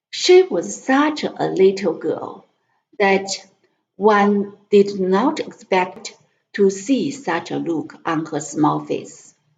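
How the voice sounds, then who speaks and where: A woman's medium-pitched voice with vocal fry, lively intonation, a very slow pace, and a Chinese accent. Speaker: language tutor and English learner. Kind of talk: reading aloud. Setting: live stream. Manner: halting.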